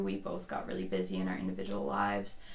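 There is clear background noise throughout. Over it, a woman talks at a moderate speed. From Newfoundland, Canada. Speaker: musician and mom. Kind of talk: casual interview conversation. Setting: studio.

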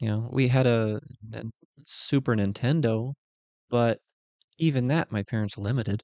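A man speaks at a moderate pace in a medium pitch, with a dark, mellow tone, fairly even intonation, and long, frequent pauses. The sound is dry and close with no echo, over a quiet background. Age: 30s. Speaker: podcast host. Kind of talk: solo casual monologue. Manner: casual, filler-heavy.

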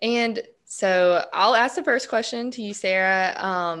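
A woman of medium pitch with a Southern US accent against a quiet background. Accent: Southern American. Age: 20s. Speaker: podcast co-host, real estate agent and student. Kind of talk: casual chat.

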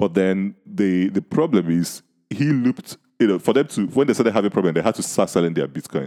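Very wide pitch swings and very even loudness shape a man's fairly quick speech in a Nigerian accent, with a dark, mellow tone and a dry, close sound with no echo. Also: fairly low pitch for a man. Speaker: podcast host. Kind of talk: casual chat.

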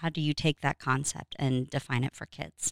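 Here a woman speaks with an American accent. Her pitch varies in an ordinary way. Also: dry, close sound with no echo. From Oklahoma. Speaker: family program director. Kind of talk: interview. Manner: hesitant, many fillers.

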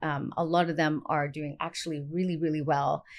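A woman with a normal speaking voice, fairly low in pitch, with ordinary pitch variation, on a very clean recording with a silent background. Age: 50s. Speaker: naturopathic doctor. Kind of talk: casual chat. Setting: clinic.

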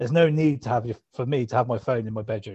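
A man's voice sounds somewhat breathy. He talks at a fairly quick pace. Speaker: podcast co-host. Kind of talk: casual chat. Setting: sitting on sofa at home.

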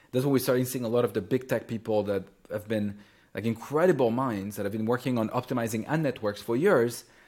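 Talking at a very fast pace, a man with a French accent uses a medium pitch and ordinary pitch variation in a very clean recording with a silent background. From France, Champagne region. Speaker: startup founder and CEO. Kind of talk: interview.

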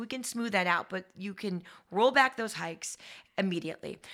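A woman with an American accent speaks at a fairly quick pace in a bright, sharp tone with lively intonation, on a very clean recording with a silent background. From south shore of Massachusetts. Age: 40s. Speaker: political candidate. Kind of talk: interview. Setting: studio.

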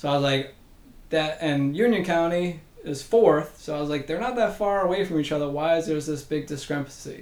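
A man with an ordinary speaking voice talks at a fairly quick pace. His pitch is fairly high, with ordinary pitch variation. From Massachusetts. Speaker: physical therapy professor. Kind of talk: interview.

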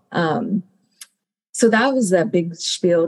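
A woman's unremarkable speaking voice at a fairly slow pace, with ordinary pitch variation. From US, Mexican American family. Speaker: graduate student, former Peace Corps teacher. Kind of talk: panel discussion.

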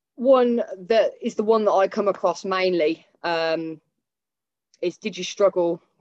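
A woman speaks with a Northamptonshire accent. Her pitch varies in an ordinary way. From Northampton, England. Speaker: podcast host interviewing a trainer. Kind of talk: casual chat, interview. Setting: video call.

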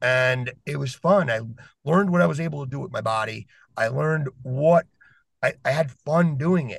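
A man's fairly high voice sounds somewhat breathy, and his intonation is lively. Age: 40s. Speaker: podcast guest. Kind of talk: casual discussion. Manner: animated.

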